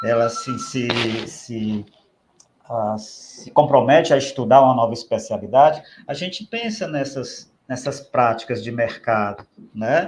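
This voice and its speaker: A somewhat breathy man with a Ceará accent, medium pitch and ordinary pitch variation, at a fairly slow pace with big swings in loudness. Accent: Ceará accent, open prolonged vowels. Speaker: speech therapist, professional council official. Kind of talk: podcast interview. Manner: halting, repeats words.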